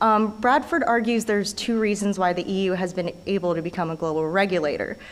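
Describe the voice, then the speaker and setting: In an American accent, a woman talks at a medium pitch. Her intonation is lively. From United States. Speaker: conference presenter. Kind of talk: academic presentation. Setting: conference. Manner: hesitant, many filler sounds.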